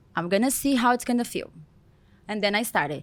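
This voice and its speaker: A woman with a Brazilian accent. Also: very clean recording, silent background. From Brazil, Goiania. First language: Portuguese. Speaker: celebrity hair stylist. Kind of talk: interview.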